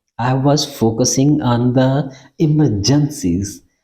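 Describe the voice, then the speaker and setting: This man's voice has a dark, mellow tone, is somewhat breathy and shows ordinary pitch variation. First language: not English. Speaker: academic researcher teaching research methods. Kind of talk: tutorial. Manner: halting, many fillers and repeats.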